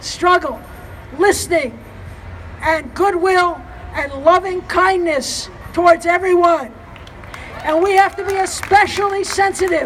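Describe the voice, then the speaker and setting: Crowd noise fills the background as a woman with an American accent talks at an extremely high pitch, with ordinary pitch variation and long, frequent pauses. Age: 70s. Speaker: activist speaker. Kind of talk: rally speech. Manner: impassioned.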